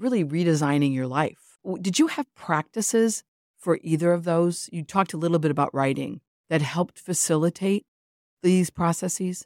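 A woman with an unremarkable speaking voice, moderate pace and ordinary pitch variation, on a very clean recording with a silent background and a dry, close sound with no echo. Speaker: podcast host and therapist. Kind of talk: unscripted interview conversation.

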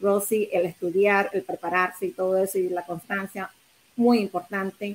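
A woman with a medium pitch speaks at a fairly slow pace. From Nicaragua. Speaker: real estate agent and mortgage lender. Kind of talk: panel discussion. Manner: halting, with fillers.

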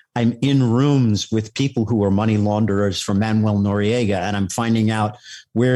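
With a New York accent, a man speaks at a moderate pace in a fairly low, dark, mellow voice with fairly even intonation, on a very clean recording with a silent background. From New York City, Staten Island. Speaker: retired federal agent. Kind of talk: interview. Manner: halting.

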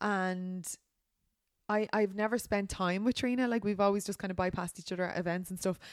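On a very clean recording with a silent background, a woman with a Dublin accent talks fairly quickly at medium pitch and with fairly even intonation. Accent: Irish, Dublin. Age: 30s. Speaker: podcast host, influencer. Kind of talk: casual chat.

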